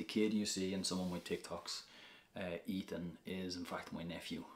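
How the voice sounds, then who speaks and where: The speaker talks at a moderate pace in a Dublin accent. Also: man. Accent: Dublin Irish. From Ireland, north Dublin. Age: 30s. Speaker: social media influencer. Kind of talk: casual vlog Q&A.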